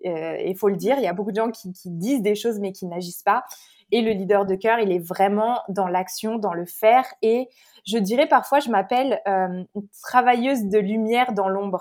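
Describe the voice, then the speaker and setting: This is a woman with a plain, everyday voice. Her pitch is medium with ordinary variation, and her pace is moderate. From France (Paris). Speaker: spiritual life coach and Reiki practitioner. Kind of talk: podcast interview.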